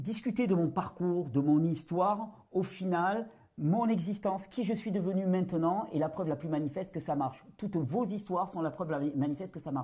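A man speaks in a high voice with a dark, mellow tone. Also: ordinary pitch variation, fairly quick pace. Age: 40s. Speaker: natural health video creator. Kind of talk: interview testimony.

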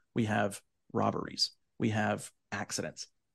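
Over a quiet background, a man with a Southern US accent talks at a medium pitch with vocal fry, the sound dry and close with no echo. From US South. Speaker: podcast co-host and tour operator. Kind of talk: casual conversational podcast.

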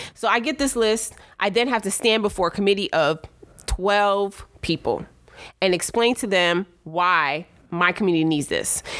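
Heard on a very clean recording with a silent background, a woman speaks in an ordinary speaking voice with an American accent. Her medium pitch shows ordinary pitch variation, at a moderate pace and very even loudness. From Brooklyn, New York. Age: 40s. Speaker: state legislator. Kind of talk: casual interview chat.

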